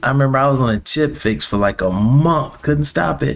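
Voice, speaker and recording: A man's animated voice with lively intonation. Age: 30s. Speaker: podcast host. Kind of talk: casual monologue.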